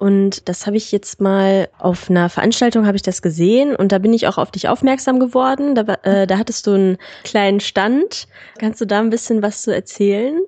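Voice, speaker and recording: Delivered at a moderate pace, a plain, everyday voice holds a very even loudness throughout. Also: woman, medium pitch for a woman, ordinary pitch variation. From Germany, Solingen. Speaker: podcast host. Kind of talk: casual interview.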